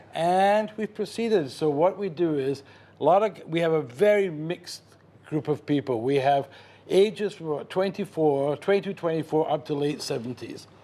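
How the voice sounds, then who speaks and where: This man has a Scottish accent and a fairly high pitch with a dark, mellow tone. He talks at a moderate pace with ordinary pitch variation. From Scotland, Glasgow. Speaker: chef and caterer. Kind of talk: TV cooking demonstration interview.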